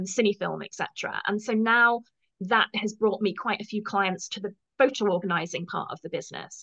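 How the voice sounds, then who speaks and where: A woman's fairly high voice in a British accent, with ordinary pitch variation and a dry, close sound with no echo. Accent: English (UK). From England. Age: 50s. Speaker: professional organizer. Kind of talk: interview.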